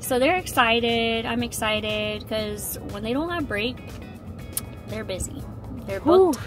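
Clear music plays behind a woman speaking at a moderate pace in a dry sound with no echo. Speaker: parent vlogger. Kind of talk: casual vlog chat. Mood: relaxed, cheerful. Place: car. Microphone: phone near.

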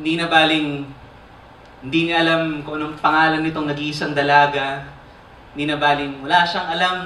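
A man with a fairly high voice talks at a fairly quick pace, with audible room echo and light background noise. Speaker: spoken word poet. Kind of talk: spoken word poetry performance. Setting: live theater stage. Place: stage.

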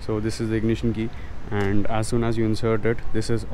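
A man's voice in a dry sound with no echo, over noticeable background noise. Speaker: motorcycle enthusiast vlogger. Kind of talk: tutorial. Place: street. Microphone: phone near.

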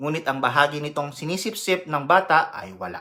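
This man has a Filipino accent and a fairly high pitch with a bright, sharp tone. He talks at a moderate pace with ordinary pitch variation. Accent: Filipino (Tagalog). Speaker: nurse educator. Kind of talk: health education lecture. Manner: formal.

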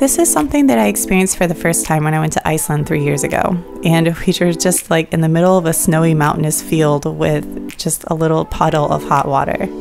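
Over music in the background, a woman speaks at a very fast pace with hardly any pauses and very even loudness. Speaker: photographer and filmmaker. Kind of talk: travel vlog voice-over.

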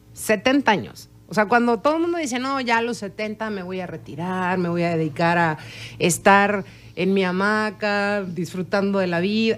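The woman's pitch is medium and varies in an ordinary way. She speaks fairly slowly. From Mexico. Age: 40s. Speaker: chef; interview guest. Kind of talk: interview. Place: studio. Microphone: studio mic.

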